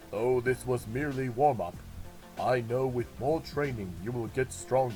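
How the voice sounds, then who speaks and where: Over clear background music, a man uses a put-on character voice at a medium pitch and moderate pace. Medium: read story. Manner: measured, formal.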